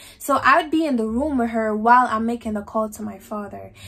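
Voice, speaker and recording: At a fairly quick pace, a woman with a fairly high pitch and ordinary pitch variation speaks in an unremarkable speaking voice on a very clean recording with a silent background. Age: young. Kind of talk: casual storytime talk to camera. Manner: emotional, outspoken.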